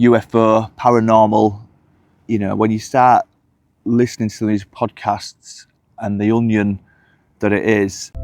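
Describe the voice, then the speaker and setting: A man with a fairly low pitch talks at a fairly slow pace in a monotone, flat delivery broken by long, frequent pauses. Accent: Hull. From northern England, Hull. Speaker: UFO commentator vlogger. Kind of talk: casual vlog monologue. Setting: outdoors walking the dogs. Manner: hesitant with fillers.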